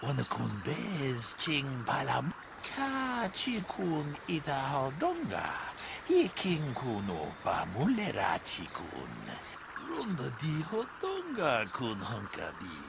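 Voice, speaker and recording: A put-on character voice moves at a fairly slow pace. Loud background noise runs behind it. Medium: video game.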